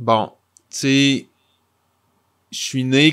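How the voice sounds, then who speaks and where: Very slowly and in a monotone, flat intonation, a man talks over a very clean recording with a silent background. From Quebec, Rimouski. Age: 40s. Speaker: comic book author. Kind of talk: interview.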